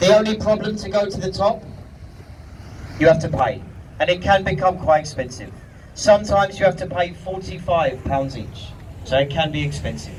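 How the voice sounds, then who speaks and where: Over noticeable background noise, a high-pitched man speaks at a moderate pace with ordinary pitch variation, big swings in loudness and long, frequent pauses. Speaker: river boat tour guide. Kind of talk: live tour commentary.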